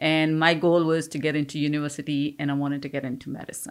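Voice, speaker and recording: With an Indian accent, a woman speaks at a moderate pace in a very deep, low voice with a bright, sharp tone, and the recording is very clean with a silent background. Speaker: business owner. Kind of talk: interview.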